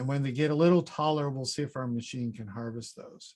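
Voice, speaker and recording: In a normal speaking voice, a man moves along at a fairly quick pace, his pitch varying in an ordinary way. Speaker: fruit breeding researcher, professor. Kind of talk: conference presentation. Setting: online conference session.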